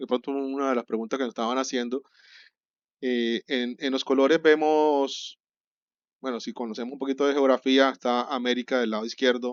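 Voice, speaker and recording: A man speaks at a medium pitch. The sound is dry and close, with no echo and a quiet background. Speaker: catechism teacher. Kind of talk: lecture. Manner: fast; halting.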